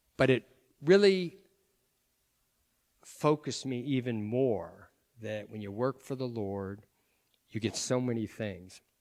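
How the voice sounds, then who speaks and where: This man talks at a fairly slow pace with lively intonation, big swings in loudness, and long, frequent pauses. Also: medium pitch for a man. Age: 60s. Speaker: pro-life speaker. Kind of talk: public talk.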